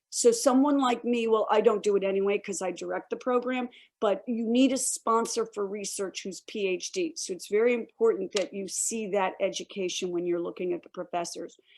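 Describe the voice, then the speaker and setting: A woman talks at a fairly quick pace, hardly pausing at all. Hers is a normal speaking voice with ordinary pitch variation. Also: medium pitch for a woman. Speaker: director of a university honors program. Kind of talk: online information session. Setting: video call.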